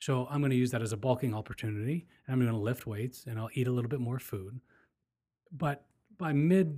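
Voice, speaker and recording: Speaking in an American accent, a man with a medium pitch has an unremarkable speaking voice. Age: 40s. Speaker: podcast host. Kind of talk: casual chat.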